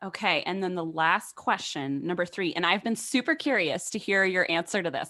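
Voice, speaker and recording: A woman with a normal speaking voice uses lively intonation at a fairly low pitch, on a very clean recording with a silent background. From Phoenix, Arizona. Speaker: podcast host, literature scholar. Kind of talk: casual chat.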